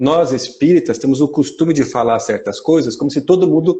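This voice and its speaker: A man's fairly high voice with a Mato Grosso accent, at a fairly quick pace and with ordinary pitch variation. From Mato Grosso, Brazil. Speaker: spiritist lecturer. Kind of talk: lecture. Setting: live stream.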